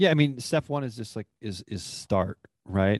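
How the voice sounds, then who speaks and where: A man with a normal speaking voice talks at a moderate pace. His pitch varies in an ordinary way. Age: 30s. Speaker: software founder and fitness coach. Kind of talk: interview conversation.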